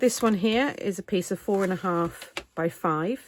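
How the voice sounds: A woman at a medium pitch, with ordinary pitch variation and a fairly slow pace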